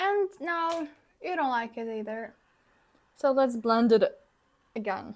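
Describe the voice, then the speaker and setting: A woman with a non-native accent speaks at a high pitch and a very slow pace with lively intonation, in a very clean recording with a silent background. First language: not English. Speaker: beauty vlogger. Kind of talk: tutorial. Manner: casual.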